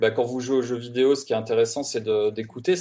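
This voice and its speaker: Dark, mellow tone with ordinary pitch variation. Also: man. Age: 40s. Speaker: video game composer. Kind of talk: explanatory talk. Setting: remote call.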